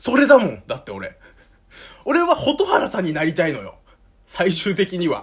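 A man speaking at a moderate pace. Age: 20s. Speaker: podcast host. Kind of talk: casual monologue. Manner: casual, hesitant with fillers.

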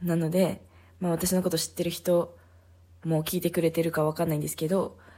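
Monotone, flat intonation and a dark, mellow tone come at a moderate pace. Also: woman. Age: 30s. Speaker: podcaster. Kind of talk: casual monologue.

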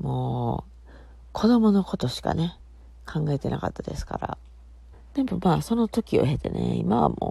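In a Kansai accent, a woman speaks at a moderate pace with a relaxed tone. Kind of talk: casual solo talk. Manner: relaxed, chatty.

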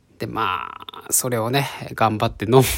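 This is a man's voice. His pitch is medium. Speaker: podcaster. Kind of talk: solo storytelling. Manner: animated.

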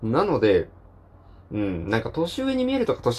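A man talks at a moderate pace. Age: 20s. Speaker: solo podcaster, engineer. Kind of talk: casual solo talk.

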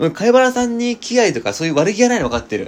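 Talking at a fairly quick pace over noticeable background noise, a man swings his pitch very widely. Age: 20s. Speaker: podcaster. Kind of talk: casual chat.

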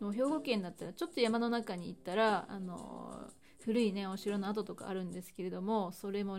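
This woman talks at a fairly quick pace with an unremarkable speaking voice and a medium pitch. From Hyogo, Japan. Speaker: podcast host. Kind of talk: solo talk podcast.

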